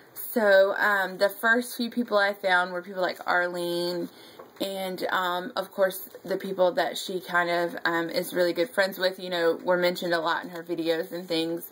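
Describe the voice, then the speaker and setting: Speaking at a moderate pace with a North Carolina accent, a woman keeps a medium pitch and fairly even intonation. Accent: Southern US (North Carolina). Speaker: scrapbooking YouTuber. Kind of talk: casual vlog chat. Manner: casual, many fillers (um).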